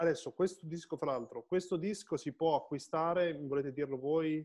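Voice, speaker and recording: A man's high-pitched voice at a fairly quick pace, with ordinary pitch variation, against a quiet background. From Piedmont, Italy. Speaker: online show host and musician; online show host. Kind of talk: casual interview chat. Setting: live Facebook video stream. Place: home room. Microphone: video call.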